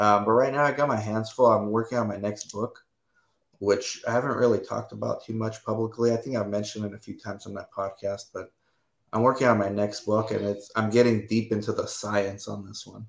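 A man talks at a fairly quick pace in a monotone, flat delivery. His loudness swings widely. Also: medium pitch for a man. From United States (born in Romania, moved at three). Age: 40s. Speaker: clinical research site owner. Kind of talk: casual interview. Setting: live stream video call.

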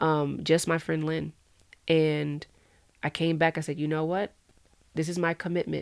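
With an American accent, a woman speaks in a very deep, low voice and a monotone, flat delivery. Her moderate pace is broken by long, frequent pauses. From Inland Empire, Southern California. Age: young. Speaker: entrepreneur and nonprofit founder. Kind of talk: interview conversation.

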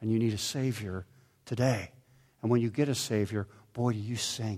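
A man with an American accent speaks at a medium pitch, his voice somewhat breathy. The recording is very clean, with a silent background. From Pittsburgh area, US. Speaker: pastor. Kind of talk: sermon.

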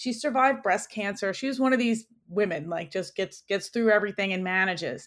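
A woman's unremarkable speaking voice at a fairly quick pace with ordinary pitch variation, on a very clean recording with a silent background. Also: medium pitch for a woman. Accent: American. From New York City (Queens). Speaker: orthopedic surgeon. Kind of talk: interview.

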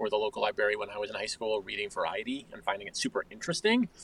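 A man's voice, dry and close with no echo, over noticeable background noise. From suburban New York and Connecticut. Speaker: journalist and author. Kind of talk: interview.

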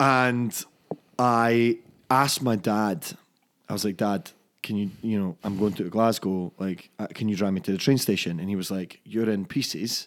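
With a Scottish accent, the speaker talks at a moderate pace with ordinary pitch variation. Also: man, fairly low pitch for a man. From Scotland, Fife (Dunfermline). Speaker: whisky brand ambassador. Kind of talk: casual chat.

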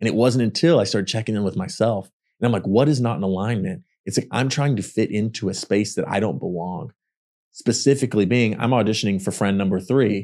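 A man with a Texan accent talks at a very fast pace, his fairly low pitch, dark, mellow tone and ordinary pitch variation captured on a very clean recording with a silent background. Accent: Southern US (Texan). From Texas. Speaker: actor. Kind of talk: casual interview chat.

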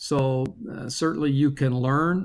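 A man with an American accent and a normal speaking voice, fairly high in pitch, fairly even in intonation, at a fairly slow pace, on a very clean recording with a silent background. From US Midwest (Michigan). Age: 50s. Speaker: church denomination leader and pastor. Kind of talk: interview.

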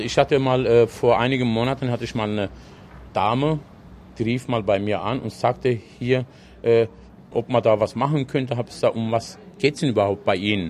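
Medium pitch from a man at a moderate pace, ordinary pitch variation and long, frequent pauses. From Odenwald, Germany. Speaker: restaurant worker, Turkish returnee. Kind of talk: interview.

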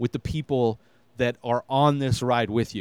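A man with an unremarkable speaking voice talks at a moderate pace and medium pitch, the sound dry and close with no echo. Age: 40s. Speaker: podcast host. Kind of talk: solo TV review. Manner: casual, with filler words.

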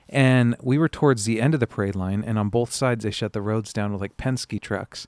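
An ordinary speaking voice comes from a man with an American accent, talking at a fairly quick pace and medium pitch with ordinary pitch variation on a very clean recording with a silent background. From US West Coast. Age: 30s. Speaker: podcast host. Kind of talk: casual chat. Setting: outdoors.

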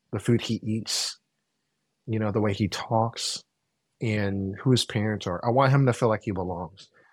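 A man with an American accent speaks in a plain, everyday voice, fairly low in pitch, at a moderate pace. His intonation stays fairly even, and the recording is very clean with a silent background. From Oakland, California (Vietnamese American). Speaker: chef and podcast host. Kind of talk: casual chat.

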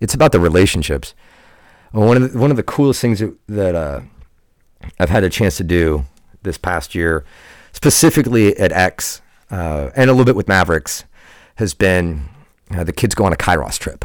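In a very clean recording with a silent background, a man with a very deep, low pitch and vocal fry talks at a moderate pace, making very wide pitch swings and long, frequent pauses. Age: 30s. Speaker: water polo coach. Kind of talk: casual chat. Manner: halting.

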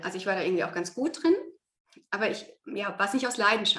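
The woman talks at a fairly quick pace. Her voice has a fairly high pitch. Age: middle-aged. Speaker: yoga teacher and former biologist. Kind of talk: casual interview.

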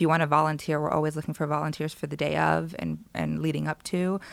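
Speaking fairly quickly in a monotone, flat delivery, a woman with a very deep, low pitch is heard on a very clean recording with a silent background. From Los Angeles area, California. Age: young. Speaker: casting director. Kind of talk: interview conversation. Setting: office with a view over LA.

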